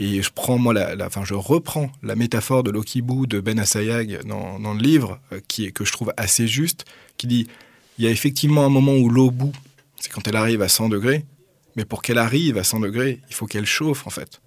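A man talks at a fairly quick pace in an unremarkable speaking voice, medium in pitch with ordinary pitch variation. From Paris, France. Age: 30s. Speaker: doctoral researcher and author. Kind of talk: radio interview.

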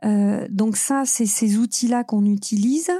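A woman's somewhat breathy voice with a dark, mellow tone, ordinary pitch variation and a fairly slow pace, on a very clean recording with a silent background. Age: 40s. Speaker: UX consultant. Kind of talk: interview.

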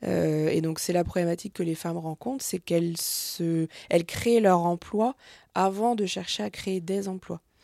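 Dark and mellow in tone, the voice moves at a fairly slow pace with ordinary pitch variation on a very clean recording, silent in the background and dry and close with no echo. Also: woman, fairly low pitch for a woman. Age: 30s. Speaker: entrepreneur. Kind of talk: interview. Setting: office. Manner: hesitant, many filler sounds.

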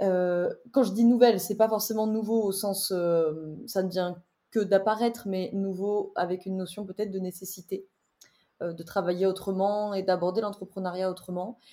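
This woman has a dark, mellow tone at a medium pitch. Her intonation stays fairly even. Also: moderate pace. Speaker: wellbeing coach and entrepreneur. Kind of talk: interview conversation. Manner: articulate.

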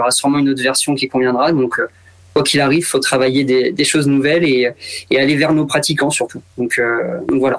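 Speaking fairly quickly, a man with a fairly high pitch keeps his intonation flat and monotone. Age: 30s. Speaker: retail store manager. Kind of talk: radio interview.

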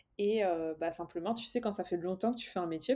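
A woman speaks at a medium pitch in a dark, mellow tone with ordinary pitch variation. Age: 20s. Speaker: business coach. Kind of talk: podcast interview. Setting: home office, remote call.

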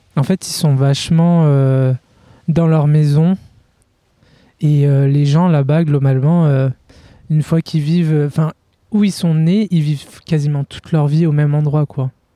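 With a dark, mellow tone and fairly high pitch, a man talks at a fairly slow pace with long, frequent pauses, fairly even intonation and very even loudness, in a dry, close sound with no echo. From France. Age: 20s. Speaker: pastry cook, humanitarian volunteer. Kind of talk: casual interview. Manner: halting.

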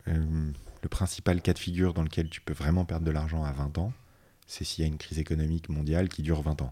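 A man's very deep, low voice with a dark, mellow tone, monotone, flat intonation and a very fast pace. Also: very clean recording, silent background. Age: 30s. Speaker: finance executive. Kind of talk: interview.

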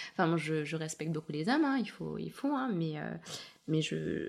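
The speaker is a woman with a fairly low pitch. Noticeable noise sits in the background. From Chechnya region, Russia; raised in France from age 7. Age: young. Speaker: dressmaker and fashion designer. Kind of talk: interview testimony. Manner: hesitant, many fillers.

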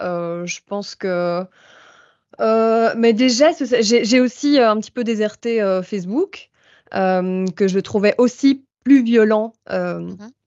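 A woman talks with ordinary pitch variation, her delivery very slow. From Belgium. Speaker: doctoral student and activist. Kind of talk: casual chat.

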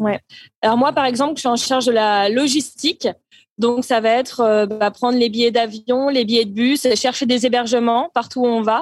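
Someone speaks at a moderate pace with fairly even intonation, the sound dry and close with no echo. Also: woman, high pitch for a woman. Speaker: interfaith volunteer on world tour. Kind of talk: casual interview. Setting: remote call from abroad.

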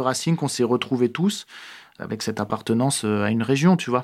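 A man speaks at a medium pitch with ordinary pitch variation, on a very clean recording with a silent background. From France, Alsace (Strasbourg). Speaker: actor and screenwriter. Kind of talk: casual interview. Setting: improvised studio in a neighbourhood.

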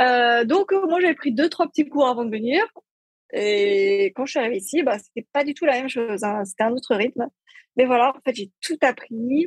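A woman's high-pitched voice at a moderate pace, with lively intonation and a dry, close sound with no echo. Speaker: entrepreneur and lifestyle blogger. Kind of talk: casual interview. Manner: joyful, simple delivery.

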